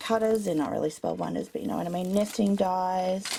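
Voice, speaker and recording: A woman with an Australian accent speaks at a medium pitch in a dark, mellow tone. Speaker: crafter / vlogger. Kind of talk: home tour video. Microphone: poor compressed video quality.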